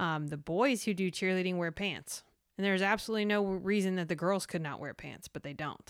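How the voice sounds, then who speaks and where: A woman speaks at a fairly quick pace in a plain, everyday voice of medium pitch with ordinary pitch variation. The recording is very clean, with a silent background. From US South. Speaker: history teacher. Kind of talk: casual chat.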